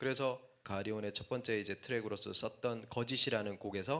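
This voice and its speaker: Medium pitch and ordinary rise and fall in a man's speaking voice. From Korea, Daegu. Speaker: hip-hop musician. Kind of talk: talk at a lecture concert.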